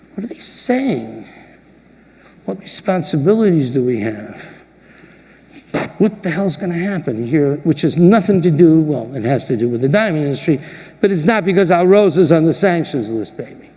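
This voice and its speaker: Showing very wide pitch swings, a man with a fairly high pitch speaks at a moderate pace with long, frequent pauses over noticeable background noise. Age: 60s. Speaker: diamond industry leader giving keynote speech. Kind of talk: keynote speech. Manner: animated.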